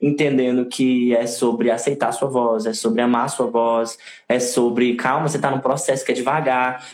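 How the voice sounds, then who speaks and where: A man speaking at a fairly slow pace. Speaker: singer and theater artist. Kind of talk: casual chat. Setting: live video stream.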